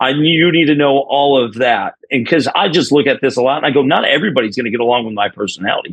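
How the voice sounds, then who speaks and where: With a New York accent, a man speaks at a medium pitch in an energetic tone. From New York (Binghamton). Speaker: college baseball head coach. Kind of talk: podcast interview. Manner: fast.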